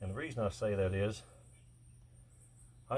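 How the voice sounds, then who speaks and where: A man's fairly quick, relaxed, somewhat breathy voice on a very clean recording with a silent background. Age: 60s. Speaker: welder and steel fabricator. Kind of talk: casual vlog narration. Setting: outdoors. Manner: relaxed, folksy.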